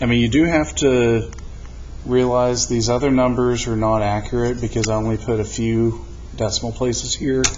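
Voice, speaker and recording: Audible room echo and noticeable background noise surround a voice with fairly even intonation. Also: man, medium pitch for a man. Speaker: math teacher. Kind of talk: tutorial. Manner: slow.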